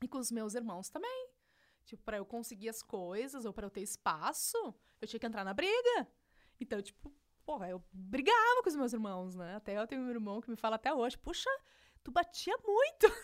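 A woman's animated, fairly high voice with lively intonation, big swings in loudness and a moderate pace. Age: 30s. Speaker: digital entrepreneur. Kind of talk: casual interview. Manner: animated, laughs often.

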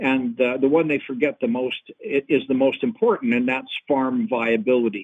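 A plain, everyday voice from a man at medium pitch, with ordinary pitch variation and a moderate pace. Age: 50s. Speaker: agronomist and agricultural consultant. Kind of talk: interview. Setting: phone call.

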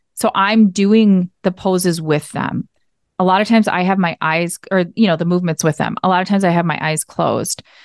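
A woman speaks at a fairly quick pace in a Minnesotan accent, her medium pitch and fairly even intonation caught in a dry, close sound with no echo. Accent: Minnesota. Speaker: yoga teacher. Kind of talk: interview.

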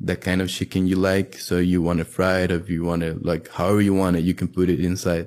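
A man speaks with a Spanish accent in a very deep, low pitch and monotone, flat intonation. The recording is very clean, with a silent background. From Costa Rica. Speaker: college student and library volunteer. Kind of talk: casual interview.

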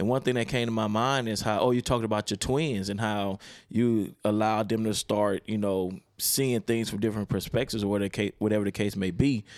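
A man with an American accent and an ordinary speaking voice talks fairly quickly with hardly any pauses, his fairly low pitch held in fairly even intonation, the sound dry and close with no echo. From Baltimore, Maryland. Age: 40s. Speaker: pastor. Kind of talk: casual chat.

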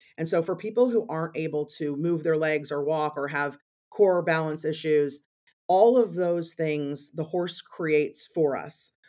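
A woman's very deep, low voice with a dark, mellow tone and an American accent, fairly slow, with ordinary pitch variation over a quiet background. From Missouri. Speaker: equine therapy ranch founder. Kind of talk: interview. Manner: frequent fillers and restarts.

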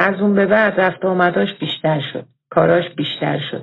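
Using a normal speaking voice, a woman talks at a fairly quick pace with lively intonation. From Iran, Tehran. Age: 50s. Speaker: listener telling her life story. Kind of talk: recorded personal testimony.

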